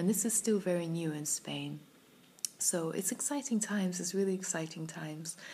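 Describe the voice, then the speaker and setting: A woman's fairly low voice with a British accent, ordinary pitch variation, and a moderate pace. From UK. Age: 30s. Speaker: vlogger. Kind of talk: personal vlog monologue. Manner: reflective, hesitant with fillers.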